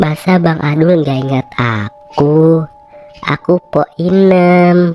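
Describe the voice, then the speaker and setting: A cartoonish character voice at a middle pitch moves at a very slow pace with ordinary pitch variation. The sound is dry and close with no echo, and faint music plays in the background. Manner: nosy, gossiping.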